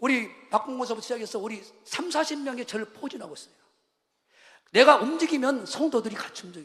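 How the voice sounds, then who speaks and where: A man with a Jeolla accent speaks at a very fast pace in an extremely high pitch, his animated tone carrying ordinary pitch variation, big swings in loudness, and long, frequent pauses. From Jeolla region, Korea. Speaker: pastor. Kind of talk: sermon.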